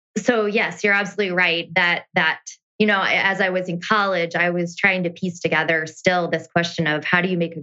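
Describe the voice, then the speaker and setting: A woman with a US Midwestern accent, fairly low pitch and a moderate pace. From US Midwest, rural Iowa. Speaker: community development consultant. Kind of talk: interview.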